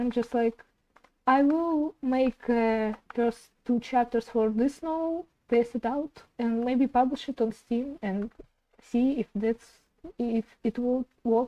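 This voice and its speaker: A woman's high-pitched voice with a non-native accent, dark and mellow in tone, at a very slow pace with fairly even intonation, in a dry, close sound with no echo. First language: not English. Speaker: indie game developer streamer. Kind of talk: casual live stream chat while working. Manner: halting.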